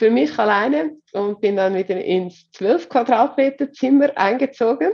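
At a very slow pace, a woman talks in a fairly high pitch with very wide pitch swings. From Switzerland. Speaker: HR coach and consultant. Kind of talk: interview.

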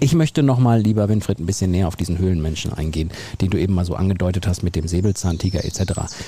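A man talks very fast in a very deep, low voice with ordinary pitch variation. Noticeable background noise runs beneath him. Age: younger than co-host. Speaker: podcast host. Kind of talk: casual chat. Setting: outdoors.

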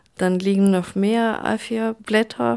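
Heard in a very clean recording with a silent background, the voice has a dark, mellow tone and a Russian accent. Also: woman. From Russia, St. Petersburg. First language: Russian (speaking German). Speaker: artist and writer. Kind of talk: interview. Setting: at home, bedroom with dimmed light.

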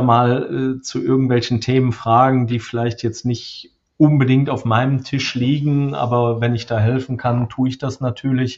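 A man speaks at a fairly slow pace and medium pitch with fairly even intonation. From Lower Rhine, Germany (Krefeld). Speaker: software company executive. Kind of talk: interview. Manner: hesitant, many fillers.

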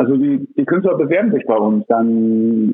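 Taking a fairly slow pace, a man speaks with very wide pitch swings. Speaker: café owner and gallery operator. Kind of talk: interview. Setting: phone call. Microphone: phone line, poor recording quality.

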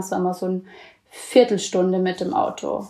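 Talking fairly quickly, a woman uses a dark, mellow tone. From Bavaria, Allgäu. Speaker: student intern abroad. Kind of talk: casual interview. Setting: video call.

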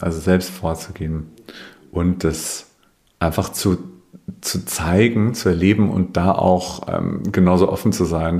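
With a slight Bavarian accent, a man speaks in a very deep, low pitch and a dark, mellow tone, keeping his intonation fairly even. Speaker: communication trainer. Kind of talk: interview conversation.

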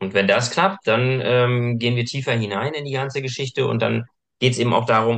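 A man with a plain, everyday voice at medium pitch. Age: 30s. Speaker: personal trainer. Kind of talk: casual chat.

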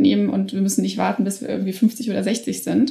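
Noticeable background noise runs under talking that moves fairly quickly. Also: woman. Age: 30s. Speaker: politician. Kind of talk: interview. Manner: frequent filler sounds.

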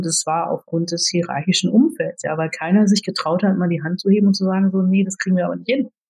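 With a dark, mellow tone and a somewhat breathy quality, a woman talks at a fairly quick pace with ordinary pitch variation. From Germany. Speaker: IT executive. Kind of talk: interview.

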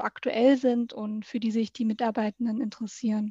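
A woman with a fairly high pitch and a dark, mellow, somewhat breathy tone, speaking at a moderate pace in a monotone, flat delivery, with a dry, close sound with no echo and a quiet background. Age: 20s. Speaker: municipal organisational consultant. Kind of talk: interview.

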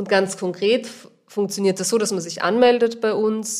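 A woman with a Viennese accent and fairly even intonation. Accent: Viennese, audible. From Vienna, Austria. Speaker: organic vegetable grower. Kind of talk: interview.

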